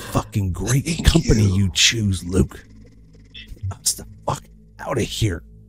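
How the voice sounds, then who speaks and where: A man speaks in a put-on character voice at a fairly slow pace, his pitch fairly low. Long, frequent pauses break up his lines over faint background music. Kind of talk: horror spirit voice. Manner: taunting, contemptuous, menacing.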